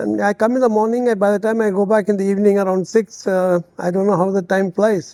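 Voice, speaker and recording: A man's high-pitched voice at a very fast pace, flat and monotone, dark and mellow in tone, with hardly any pauses and a dry, close sound with no echo. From India, Delhi. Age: 70s. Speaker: army veteran and senior living entrepreneur. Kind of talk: interview.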